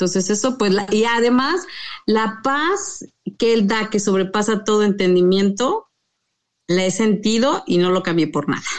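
Fairly high in pitch, a woman speaks at a fairly slow pace. Her loudness stays very even, with ordinary pitch variation. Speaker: interview guest. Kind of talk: personal testimony.

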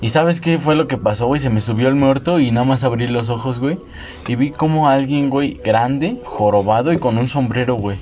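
Noticeable background noise runs under a man's voice. He speaks at a moderate pace with a medium pitch and ordinary pitch variation. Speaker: podcast host. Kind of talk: casual chat.

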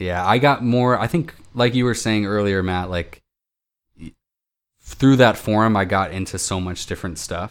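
Here a man with an ordinary speaking voice talks at a moderate pace with a fairly low pitch and ordinary pitch variation. His loudness swings widely on a very clean recording with a silent background. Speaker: indie musician. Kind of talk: casual chat.

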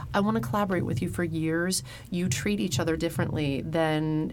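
Against noticeable background noise, a woman with an American accent speaks at a moderate pace in a fairly low pitch. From rural Ohio. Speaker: stage actress. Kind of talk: interview.

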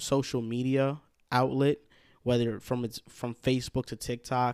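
A man speaks with a New Jersey accent at a medium pitch. The recording is very clean with a silent background, the sound dry and close with no echo. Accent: New York-like New Jersey. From Hackensack, New Jersey. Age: 20s. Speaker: sports podcast host, guest. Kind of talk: casual sports chat. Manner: energetic.

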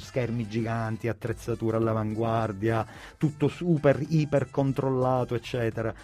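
Somewhat breathy, a man's voice has a dark, mellow tone. He speaks at a fairly quick pace. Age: 40s. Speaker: radio presenter. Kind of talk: casual chat. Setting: studio.

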